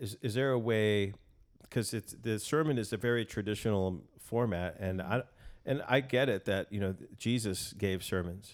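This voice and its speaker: An unremarkable speaking voice from a man with an American accent, fairly low in pitch with ordinary pitch variation, in a very clean recording with a silent background. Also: moderate pace. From El Paso, Texas. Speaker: musician and producer. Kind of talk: casual interview chat. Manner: joking, playful.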